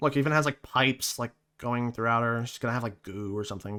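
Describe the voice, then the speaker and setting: A man speaks at a very fast pace in a bright, sharp tone, on a very clean recording with a silent background. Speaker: gaming commentator. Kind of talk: casual reaction commentary. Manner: halting, many fillers.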